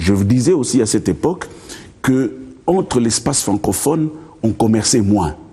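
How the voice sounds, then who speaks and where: A man's voice is somewhat breathy with a dark, mellow tone. His intonation is lively. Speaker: lawyer. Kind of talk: TV interview. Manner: hesitant, repeats words.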